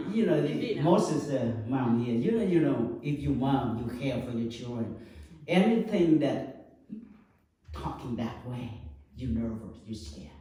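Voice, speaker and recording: Speaking at a fairly slow pace with lively intonation, a man with a Vietnamese accent is heard over noticeable background noise and audible room echo. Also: medium pitch for a man. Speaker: Buddhist monk. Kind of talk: dharma talk to an audience. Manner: halting, many fillers.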